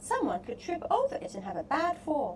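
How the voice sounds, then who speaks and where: A woman puts on a character voice. She talks at a fairly quick pace over clear background noise. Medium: read story.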